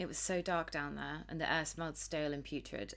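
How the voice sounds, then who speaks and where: A woman speaks with a British accent. She talks at a fairly quick pace. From Britain. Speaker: video game streamer. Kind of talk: reading game text aloud during a let's play.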